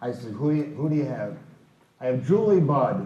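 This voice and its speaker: In a room with audible echo, a man with an American accent talks in a somewhat breathy voice with lively intonation. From US Midwest, Chicago south side. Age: 80s+. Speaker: baseball raconteur. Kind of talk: storytelling talk.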